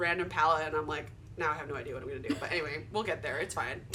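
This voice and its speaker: A woman's bright, sharp voice swings very widely in pitch, with audible room echo around it. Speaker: podcast host. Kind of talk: casual chat. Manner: stuttering.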